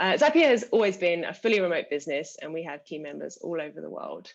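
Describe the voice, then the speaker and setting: A woman speaks with a British accent at a medium pitch. Her pace is fairly quick. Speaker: customer success manager, panelist. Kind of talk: live panel webinar.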